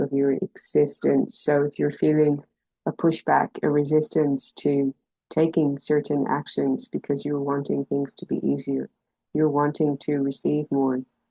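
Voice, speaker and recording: Soft-spoken and gentle in tone, a woman with a very deep, low pitch and a dark, mellow tone speaks at a moderate pace in monotone, flat intonation, with a dry, close sound and no echo. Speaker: intuitive empowerment coach. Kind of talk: spiritual guidance talk to camera. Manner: soft, gentle, compassionate.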